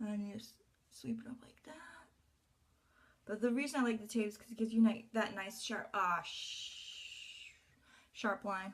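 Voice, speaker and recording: Her voice is fairly high-pitched and somewhat breathy, with big swings in loudness. The woman keeps a moderate pace broken by long, frequent pauses. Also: ordinary pitch variation. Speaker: beauty vlogger. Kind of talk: makeup tutorial.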